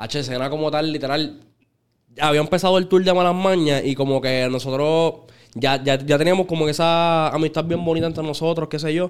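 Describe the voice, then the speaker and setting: A man's fairly high voice with a Puerto Rican accent, fairly even intonation and a moderate pace. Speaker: urban music artist. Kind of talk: casual chat.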